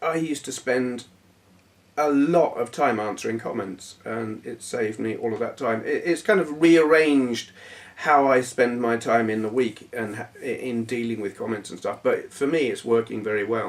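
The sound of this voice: At a moderate pace, a man speaks with medium pitch and ordinary pitch variation.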